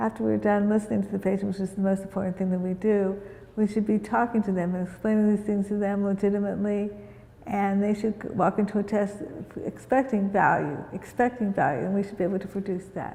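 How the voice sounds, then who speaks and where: Very fast speech from a woman at medium pitch, with fairly even intonation and noticeable background noise. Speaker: physician. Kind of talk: panel discussion.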